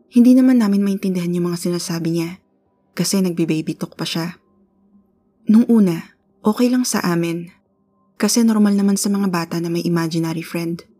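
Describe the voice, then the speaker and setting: With music in the background, a woman talks at a fairly quick pace, fairly low in pitch, with ordinary pitch variation. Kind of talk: ghost story telling, first-person spooky narration of a true haunting. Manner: earnest and conversational, polite with 'po'.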